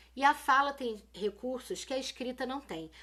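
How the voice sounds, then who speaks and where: Raising and projecting her voice, a woman speaks at a high pitch in a bright, sharp tone with ordinary pitch variation. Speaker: teacher. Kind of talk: live-stream lesson. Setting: live video stream. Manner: casual, colloquial.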